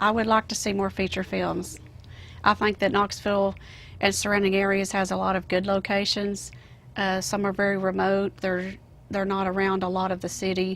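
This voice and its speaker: A woman with a Southern US accent, medium pitch, moderate pace, and monotone, flat intonation, on a very clean recording with a silent background. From US South. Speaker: actress. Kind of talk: interview.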